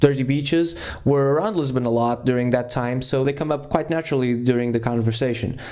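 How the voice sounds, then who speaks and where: A man with a fairly high pitch talks at a fairly quick pace, his tone dark and mellow and his pitch varying in an ordinary way. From Portugal. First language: Portuguese. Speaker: podcast host, music interviewer. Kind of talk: podcast intro monologue, dry humor. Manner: hesitant, with fillers.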